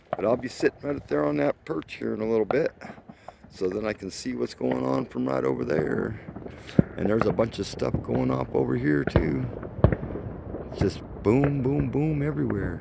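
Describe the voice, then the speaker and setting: Against noticeable background noise, a man with a very deep, low pitch swings his pitch very widely, keeping a moderate pace broken by long, frequent pauses. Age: 60s. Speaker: vlogger. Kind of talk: casual vlog narration. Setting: outdoors.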